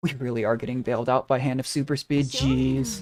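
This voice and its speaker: Music plays in the background while a man speaks at a moderate pace and medium pitch with lively intonation. The sound is dry and close, with no echo. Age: 20s. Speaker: gaming streamer. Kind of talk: live gameplay commentary. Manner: casual, thinking aloud.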